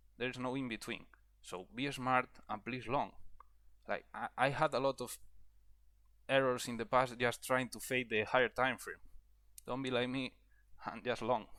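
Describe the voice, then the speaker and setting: A man with a non-native accent talks at a medium pitch and a moderate pace in a bright, sharp tone. His intonation is flat and monotone, with long, frequent pauses. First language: not English. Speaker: trading educator. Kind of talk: tutorial. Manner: halting, with fillers and repetitions.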